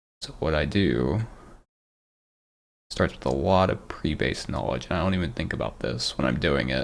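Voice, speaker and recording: A man with very deep, low pitch and vocal fry speaks with lively intonation and long, frequent pauses. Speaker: meditation vlogger. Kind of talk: vocalized personal meditation. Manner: slow, reflective.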